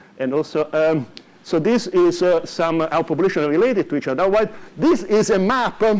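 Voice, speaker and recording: Very fast male delivery, its pitch variation ordinary. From Italy. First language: Italian. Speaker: economics professor. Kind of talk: lecture. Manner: halting, many fillers.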